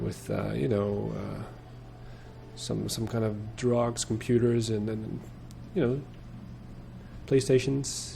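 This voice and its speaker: With audible room echo, a man speaks at a very slow pace, leaving long, frequent pauses. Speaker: video game let's player. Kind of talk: gameplay commentary. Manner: halting.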